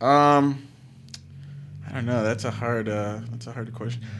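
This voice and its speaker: With an American accent, a man talks at a medium pitch. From Palm Beach, Florida; Florida. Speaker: actor and filmmaker; actor. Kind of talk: casual chat. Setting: studio. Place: studio. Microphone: studio mic.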